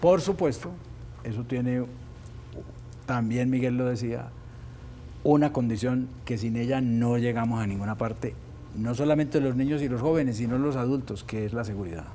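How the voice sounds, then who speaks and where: A man talks at a moderate pace with a medium pitch, a dark, mellow tone and ordinary pitch variation. Long, frequent pauses break up his speech, and room echo is audible. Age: 70s. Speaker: politician, presidential pre-candidate. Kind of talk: interview.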